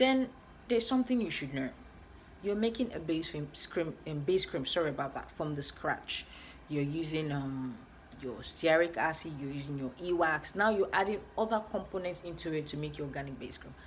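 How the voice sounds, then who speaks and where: A woman speaks at a very deep, low pitch with lively intonation. Her voice is somewhat breathy. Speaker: skincare vlogger. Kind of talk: tutorial. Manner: fast.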